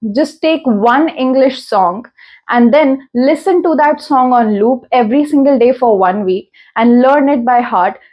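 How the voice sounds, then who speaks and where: Her voice high in pitch, a woman speaks at a fairly slow pace with ordinary pitch variation and very even loudness. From India. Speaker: self-improvement YouTuber. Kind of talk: informal tutorial monologue.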